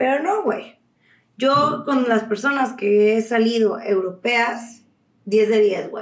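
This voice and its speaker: In a Mexican accent, a woman with a fairly high pitch talks at a very slow pace. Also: ordinary pitch variation. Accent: Mexican Spanish (Jalisco). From Guadalajara, Mexico. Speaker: podcast host. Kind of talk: casual monologue. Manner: animated.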